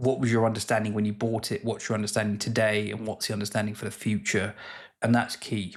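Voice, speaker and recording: In a British accent, a man speaks at a very fast pace with a fairly low pitch and monotone, flat intonation, in a very clean recording with a silent background. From UK. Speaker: investing YouTuber. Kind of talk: casual educational talk to camera.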